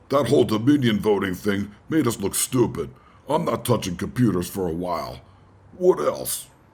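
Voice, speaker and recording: Putting on a character voice, a man speaks at a moderate pace in a fairly low pitch with very wide pitch swings. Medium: read story. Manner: brusque, bossy.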